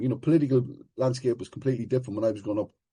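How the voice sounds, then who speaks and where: A somewhat breathy man with an Irish accent and a dark, mellow tone. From Ireland. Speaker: recovery meeting speaker. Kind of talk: personal testimony share at a recovery meeting.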